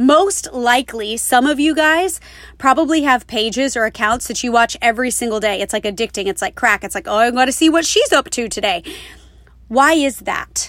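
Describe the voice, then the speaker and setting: With an animated tone and lively intonation, a woman talks at a high pitch and a moderate pace. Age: 30s. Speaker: business coach and podcast host. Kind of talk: solo podcast monologue. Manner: trained, varied inflection.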